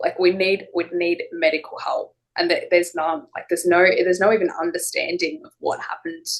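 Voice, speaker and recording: A woman with an Australian accent talks at a fairly quick pace with hardly any pauses. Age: 20s. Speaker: interviewee with drug side-effect condition. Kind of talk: interview. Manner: halting, many repetitions and fillers.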